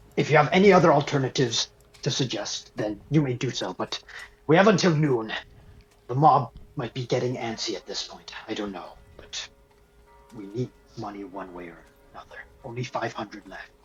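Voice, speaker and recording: A man's put-on character voice with long, frequent pauses. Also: medium pitch for a man, moderate pace. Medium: actual play. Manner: blunt, businesslike.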